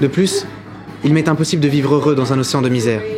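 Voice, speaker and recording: A man with a fairly high pitch speaks fairly quickly, using ordinary pitch variation, while audible room echo and noticeable background noise fill the recording. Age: 20s. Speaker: political candidate. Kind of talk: campaign statement. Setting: outdoors in front of a school.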